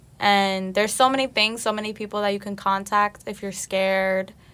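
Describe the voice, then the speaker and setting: A woman with an American accent speaks at a moderate pace and a medium pitch, her intonation flat and monotone. The recording is very clean, with a silent background. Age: 20s. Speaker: college student, daughter of host. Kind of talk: personal testimony.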